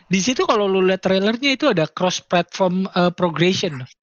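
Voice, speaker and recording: At a moderate pace, a man speaks high for his sex, his intonation lively. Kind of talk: casual chat.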